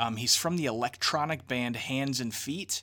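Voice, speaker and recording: A man with an American accent, medium pitch and a bright, sharp tone, speaking at a fairly slow pace in a very clean recording with a silent background. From southern Illinois. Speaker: podcast host. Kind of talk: casual interview chat.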